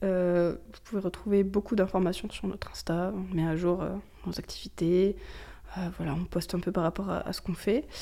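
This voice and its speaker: Speaking at a moderate pace, a woman with a medium pitch and a dark, mellow tone keeps her intonation fairly even. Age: 20s. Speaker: LGBT+ youth association co-president, gender studies student. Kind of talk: interview. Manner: hesitant, many fillers.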